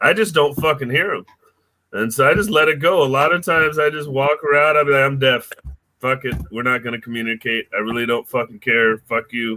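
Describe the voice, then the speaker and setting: A man mumbles in an American accent with a fairly high pitch. He talks fairly quickly with ordinary pitch variation. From Seattle, Washington. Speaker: comedian. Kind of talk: casual chat. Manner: mumbling.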